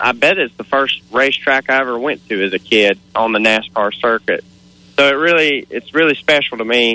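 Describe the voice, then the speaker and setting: In a normal speaking voice, a man talks at a moderate pace with a medium pitch and ordinary pitch variation. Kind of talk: casual radio interview. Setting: outdoors at race track, phone. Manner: excited.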